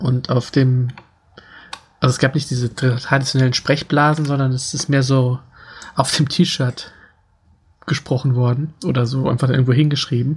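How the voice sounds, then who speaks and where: At a medium pitch, a man speaks in a somewhat breathy, monotone, flat voice at a moderate pace with long, frequent pauses. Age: 40s. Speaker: podcast co-host. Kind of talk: casual chat.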